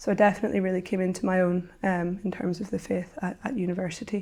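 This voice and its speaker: A woman speaks very fast in a Northern Irish accent at a medium pitch. Her tone is dark and mellow, and the recording is very clean with a silent background. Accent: Northern Irish (Belfast). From Northern Ireland, Belfast. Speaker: university student. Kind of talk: interview testimony. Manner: hesitant, with fillers.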